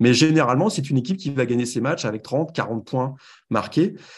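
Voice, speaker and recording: A man speaks against a quiet background. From France. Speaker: college football website editor. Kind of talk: podcast interview and game analysis. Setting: remote from Los Angeles.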